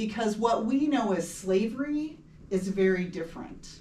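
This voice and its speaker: The voice comes with a West Coast US accent and some audible room echo. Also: woman. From US Pacific Northwest, Seattle area. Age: 60s. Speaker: local historical society president. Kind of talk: recorded public talk.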